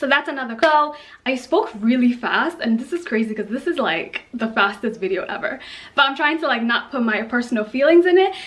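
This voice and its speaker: Over noticeable background noise, a woman speaks at a fairly quick pace with a high pitch and lively intonation. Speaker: model and vlogger. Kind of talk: casual talking video. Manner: fast.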